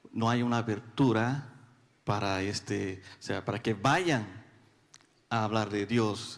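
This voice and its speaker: A man speaks at a medium pitch with a Brazilian accent. His pace is very slow, with long, frequent pauses. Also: ordinary pitch variation. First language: Portuguese (speaking Spanish). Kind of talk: audience question. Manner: halting.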